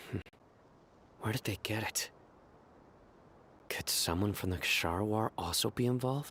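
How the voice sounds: At a fairly slow pace, a man puts on a character voice that is fairly low in pitch, with a slightly husky edge, a fairly bright tone and ordinary pitch variation.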